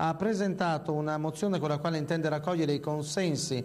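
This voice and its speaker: A man talks in a normal speaking voice, his fairly high pitch holding fairly even intonation at a moderate pace. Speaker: TV news journalist. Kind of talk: local TV news bulletin read.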